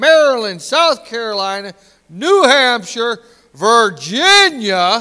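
The voice is raised and projected, with a bright, sharp tone. Delivery is very slow, with very wide pitch swings. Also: man. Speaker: pastor. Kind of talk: sermon. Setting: church. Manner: loud; animated.

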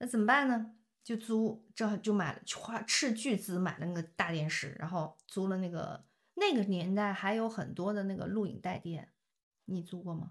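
A woman speaks at a medium pitch in an animated, somewhat breathy tone, at a moderate pace with ordinary pitch variation. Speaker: podcast host. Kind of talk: casual chat.

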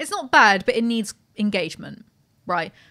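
A woman with a British accent speaks fairly quickly at a fairly high pitch. Her tone is bright and sharp, on a very clean recording with a silent background. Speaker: podcast host. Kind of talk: casual chat. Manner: animated.

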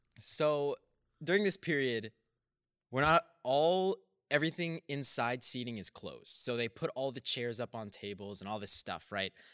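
A man with an American accent talks in an ordinary speaking voice at a moderate pace, his medium pitch carrying lively intonation, on a very clean recording with a silent background and a dry, close sound with no echo. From Texas. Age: young. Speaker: podcast co-host, college student. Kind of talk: casual chat.

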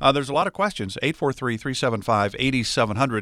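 A man speaks with vocal fry in a very clean recording with a silent background. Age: 60s. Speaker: radio show co-host, former sports broadcaster. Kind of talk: radio show conversation.

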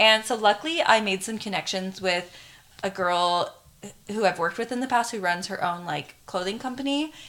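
A woman with an American accent has a plain, everyday voice. She speaks at a moderate pace with lively intonation. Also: medium pitch for a woman. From Arizona. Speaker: influencer and swimsuit business owner. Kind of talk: casual chat.

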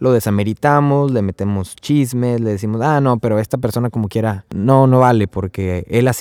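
Recorded very cleanly against a silent background, with a dry, close sound and no echo, a man speaks at a medium pitch and moderate pace in a dark, mellow tone with ordinary pitch variation. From Mexico, Tamaulipas (Río Bravo). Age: 20s. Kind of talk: religious teaching podcast. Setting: recorded outdoors at a campsite. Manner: casual, conversational.

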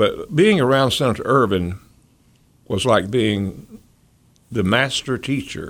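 Speaking with an Appalachian accent, a man uses lively intonation at a medium pitch. His pace is fairly slow, with long, frequent pauses. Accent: Appalachian Southern US. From North Carolina mountains (Boone). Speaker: former politician and lawyer. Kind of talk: radio interview.

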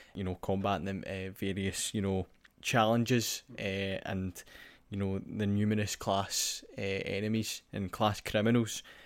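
In a Scottish accent, someone speaks at a fairly slow pace with monotone, flat intonation in a very clean recording with a silent background. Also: man, fairly low pitch for a man. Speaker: podcast host. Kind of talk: scripted narration; casual chat.

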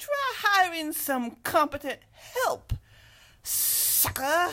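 A put-on character voice, female-sounding and extremely high-pitched, at a very slow pace. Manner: sneering, taunting.

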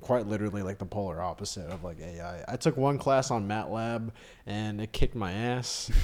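This man has a normal speaking voice with a fairly low pitch, ordinary pitch variation, an American accent and big swings in loudness. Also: fairly quick pace. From Austin, Texas. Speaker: stand-up comedian. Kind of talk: casual interview chat.

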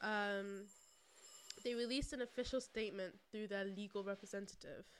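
A woman in a London accent, medium pitch, fairly even intonation and a moderate pace. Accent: London accent, non-rhotic. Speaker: podcast co-host. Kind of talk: casual chat. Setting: recorded on camera.

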